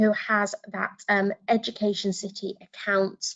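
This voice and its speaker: This is a woman with a British accent. She talks at a medium pitch. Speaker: education consultant, former teacher. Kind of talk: webinar tutorial. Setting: online webinar.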